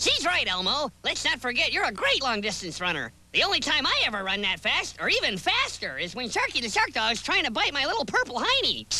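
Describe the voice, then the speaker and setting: This is a cartoonish character voice with a high pitch. It moves along at a fairly quick pace. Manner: chipper, good-natured.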